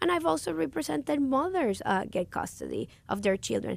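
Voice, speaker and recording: In a Puerto Rican accent, a woman talks at a fairly quick pace on a very clean recording with a silent background. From Puerto Rico. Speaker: lawyer and judicial candidate. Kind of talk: radio interview. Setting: radio studio. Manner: passionate, animated; hesitant with many fillers.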